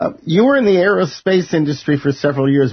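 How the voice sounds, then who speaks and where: A man with a slight New York accent talks at a very fast pace, somewhat breathy and with lively intonation. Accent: faint New York. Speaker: broadcaster, interviewer. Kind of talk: scripted introduction; interview.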